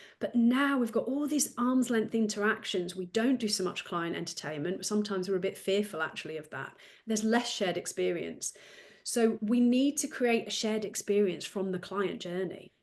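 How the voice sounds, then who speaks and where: A woman with a British accent speaks at medium pitch with ordinary pitch variation against a quiet background. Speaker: business development coach, former solicitor. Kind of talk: podcast interview. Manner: fast talker.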